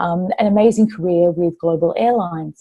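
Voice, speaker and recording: Speaking at a moderate pace, a woman with an Australian accent has a medium pitch and a dark, mellow tone. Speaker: former corporate executive, author. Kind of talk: interview. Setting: live online interview.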